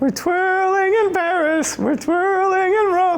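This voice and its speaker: A put-on character voice at an extremely high pitch goes along at a fairly slow pace, with clear background noise. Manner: playful, singsong.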